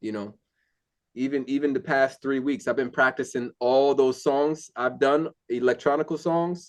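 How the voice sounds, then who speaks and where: Against a quiet background, a man with a plain, everyday voice speaks at a moderate pace with a fairly high pitch and fairly even intonation. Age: 40s. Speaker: singer and construction worker. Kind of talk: casual chat. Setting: video call.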